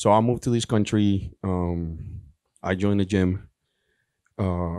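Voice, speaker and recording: On a very clean recording with a silent background, a man with a Spanish accent speaks slowly-ish at a fairly slow pace, his very deep, low voice dark and mellow in tone with fairly even intonation. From Colombia. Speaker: professional bodybuilder. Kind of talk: panel Q&A story.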